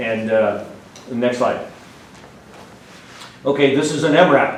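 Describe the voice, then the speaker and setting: Noticeable background noise and audible room echo behind a man with an American accent. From Washington state. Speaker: retired army colonel. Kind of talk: slide presentation talk. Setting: meeting room with audience. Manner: fast.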